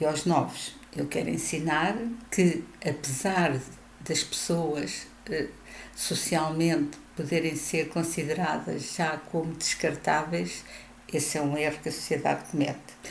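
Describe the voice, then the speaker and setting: A woman speaks at a fairly slow pace with a very deep, low pitch, fairly even intonation and audible room echo. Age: 70s. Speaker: retiree vlogger. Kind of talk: video monologue.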